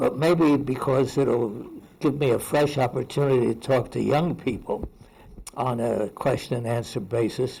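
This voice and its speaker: A man speaks in a dark, mellow tone that is somewhat breathy. His pitch is medium and his pace is moderate. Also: ordinary pitch variation. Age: 90s. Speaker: retired research institute founder. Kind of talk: birthday speech and Q&A. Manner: halting.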